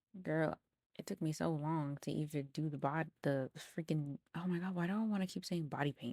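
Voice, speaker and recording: A woman's very deep, low-pitched voice at a moderate pace, with a dry, close sound with no echo in a very clean recording with a silent background. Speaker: cosplay content creator. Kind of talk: voiceover commentary on cosplay makeup video. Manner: casual, chatty.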